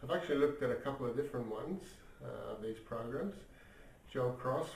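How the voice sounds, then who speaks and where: Through audible room echo, a man with a medium-pitched voice and ordinary pitch variation talks at a fairly quick pace. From Ireland. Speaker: magazine editor and vlogger. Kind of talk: casual video diary. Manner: hesitant, many fillers.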